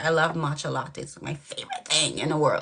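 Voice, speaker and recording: A woman speaks in an animated tone. Noticeable background noise runs behind her. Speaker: dating show caller. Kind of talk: casual chat.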